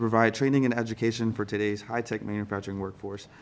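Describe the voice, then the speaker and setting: A man talks at a fairly quick pace with a fairly low pitch. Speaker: congressional staff member. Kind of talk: interview. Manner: fast; halting.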